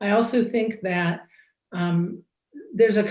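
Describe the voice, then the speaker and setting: A woman talks fairly slowly, and her voice is somewhat breathy. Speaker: judge scoring a mock trial. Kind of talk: feedback to students.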